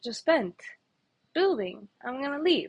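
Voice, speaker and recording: This woman has a Spanish accent and a high pitch. Her intonation is lively. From Ecuador, then Canada from age 16. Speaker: vlogger, policy intern. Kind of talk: personal vlog reflection.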